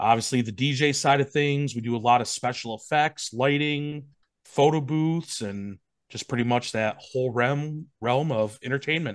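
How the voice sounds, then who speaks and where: At a moderate pace, a man with an Upper Midwest accent speaks against a quiet background. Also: ordinary pitch variation. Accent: Upper Midwest American. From Wisconsin. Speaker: wedding DJ, business owner. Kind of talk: casual chat. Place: home room. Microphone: video call.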